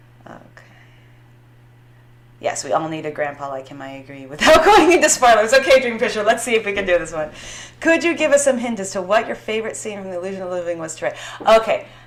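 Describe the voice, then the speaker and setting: A woman with a fairly high pitch talks at a very fast pace in an animated tone, with very wide pitch swings, big swings in loudness, long, frequent pauses and noticeable background noise. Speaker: author. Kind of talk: casual chat. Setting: live stream.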